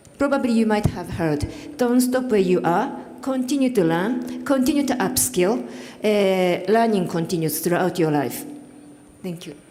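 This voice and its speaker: Over noticeable background noise and audible room echo, a woman with a Japanese accent talks at a moderate pace and a medium pitch, her pitch swinging very widely. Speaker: panelist, development cooperation worker. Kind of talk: panel discussion remarks. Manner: halting, many fillers.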